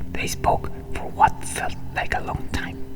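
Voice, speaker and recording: Someone whispers at a fairly slow pace with music in the background. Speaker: ASMR creator. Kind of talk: read story for relaxation. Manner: whispered.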